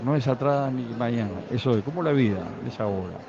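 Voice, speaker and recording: A man with a medium pitch at a moderate pace, with ordinary pitch variation, noticeable background noise and audible room echo. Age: 60s. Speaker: guitarist musician. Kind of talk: backstage interview. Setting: festival.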